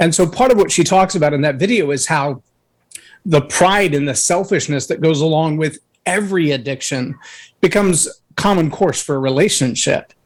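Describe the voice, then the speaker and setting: In a very clean recording with a silent background, a man with a plain, everyday voice and a fairly high pitch speaks at a moderate pace with ordinary pitch variation. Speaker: leadership speaker and coach. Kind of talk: interview testimony.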